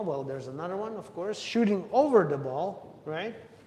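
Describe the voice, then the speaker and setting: With audible room echo and noticeable background noise, a man speaks at a high pitch with lively intonation. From Russia. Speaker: pool player streaming practice. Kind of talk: live-streamed practice tutorial. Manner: casual, thinking aloud while playing.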